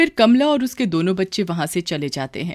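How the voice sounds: The speaker moves at a fairly quick pace and makes big pitch swings. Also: woman, fairly low pitch for a woman.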